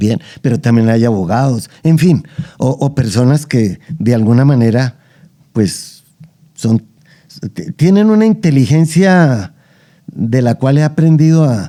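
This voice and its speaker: A man speaks at a fairly slow pace with lively intonation. His tone is dark and mellow. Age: 70s. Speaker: anthropologist and archaeologist. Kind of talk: interview conversation. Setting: at his home.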